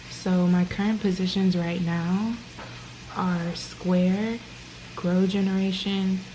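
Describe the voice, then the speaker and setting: Amid noticeable background noise and audible room echo, a woman of medium pitch speaks at a very slow pace with monotone, flat intonation. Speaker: vlogger. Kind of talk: casual chat; vlog, casual talk to camera. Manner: quiet, hushed.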